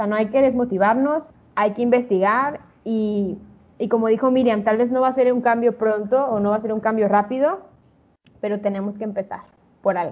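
The woman's pitch is fairly high, and she speaks at a moderate pace. She has an unremarkable speaking voice with fairly even intonation. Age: 20s. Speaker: podcast co-host. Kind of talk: casual chat.

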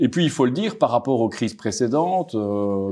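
Against a quiet background, the speaker talks at a fairly quick pace with a dark, mellow tone and a slight Belgian accent. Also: man. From Belgium, Brussels. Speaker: market strategist. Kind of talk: interview. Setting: office in Paris. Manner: hesitant, repeats words.

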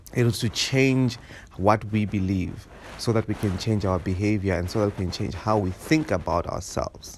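Here is an ordinary speaking voice from a man, fairly low in pitch with ordinary pitch variation. He keeps a moderate pace. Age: 30s. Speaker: podcast host. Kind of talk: solo monologue podcast.

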